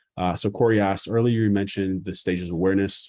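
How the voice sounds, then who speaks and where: With an American accent, a man speaks at a fairly low pitch with ordinary pitch variation in a dark, mellow tone over a quiet background. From US Northeast, Boston. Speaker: marketing educator. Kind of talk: live stream Q&A. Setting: live YouTube stream. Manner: fast; casual.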